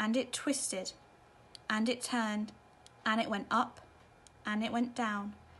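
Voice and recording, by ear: At a slow pace, a woman speaks with a fairly high pitch, a fairly bright tone and little pitch movement.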